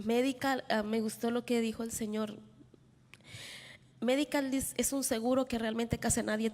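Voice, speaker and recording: A woman speaks at a fairly high pitch in a monotone, flat intonation. Her loudness stays very even, and she takes long, frequent pauses. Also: fairly quick pace. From El Salvador. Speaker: panelist, formerly detained immigrant. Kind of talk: panel talk through an interpreter. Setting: conference hall with audience.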